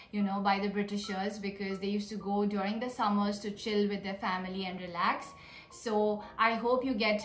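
Over light background noise and audible room echo, a woman speaks with monotone, flat intonation. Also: moderate pace. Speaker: vlogger. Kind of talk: casual Q&A vlog chat. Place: home room. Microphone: phone near.

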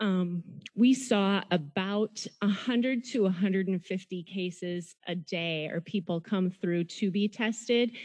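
A woman's very slow speech with hardly any pauses and ordinary pitch variation, over a quiet background. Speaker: public health officer; health official reporting to board. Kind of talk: report to county board. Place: hall. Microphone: podium.

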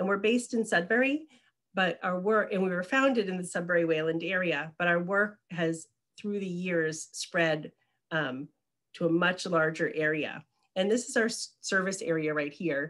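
Over a quiet background, a woman speaks at a moderate pace. Her pitch varies in an ordinary way. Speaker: presenter. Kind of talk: presentation. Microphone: webcam.

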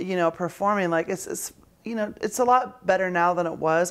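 Her voice has a fairly low pitch. The speaker is a woman. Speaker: actress and singer. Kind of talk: casual interview. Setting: interview with lapel mics. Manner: halting; casual and profane. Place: home room. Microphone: lapel.

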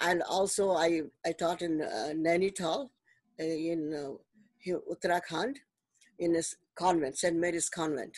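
A woman's fairly low voice with ordinary pitch variation, fairly slow and full of long, frequent pauses, dry with no echo and a quiet background. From Delhi, India. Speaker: retired math teacher. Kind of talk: casual interview conversation. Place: home room. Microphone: video call.

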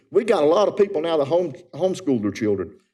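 With a North Carolina accent, this voice has a dark, mellow tone, very wide pitch swings and a fairly quick pace. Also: man. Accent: Southern US (North Carolina). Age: 70s. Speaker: resident speaking at public comment. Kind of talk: public comment at council meeting. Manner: earnest, impassioned.

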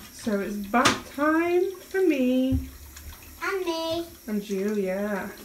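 Over noticeable background noise, a woman with a British accent speaks at a very slow pace in a high pitch, with very wide pitch swings. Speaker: vlogger. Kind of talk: casual vlog chat. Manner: animated, laughs often.

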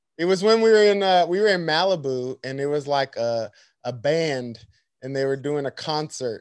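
Against a quiet background, a man speaks at a moderate pace. The sound is dry with no echo. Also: lively intonation. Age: 30s. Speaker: podcast host and actor; podcast host. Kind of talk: interview. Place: home room. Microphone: studio mic.

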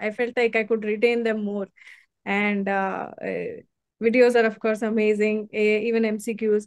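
A woman speaks at a moderate pace in a fairly high pitch, her intonation flat and monotone. The sound is dry with no echo, over a quiet background. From India, Mathura, Uttar Pradesh; Uttar Pradesh. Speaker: surgeon, exam topper; interviewee. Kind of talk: interview. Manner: halting. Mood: pleased, smiling. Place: home room.

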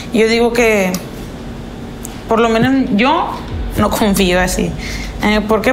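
A woman's voice with fairly even intonation, music playing in the background. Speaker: interviewee. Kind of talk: interview answer. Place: kitchen.

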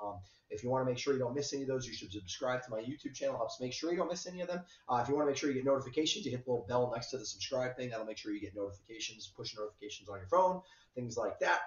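Audible room echo surrounds a man with a medium pitch. He talks at a very fast pace with lively intonation. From southern Vermont. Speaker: weather forecaster. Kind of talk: weather forecast. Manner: hesitant, many fillers.

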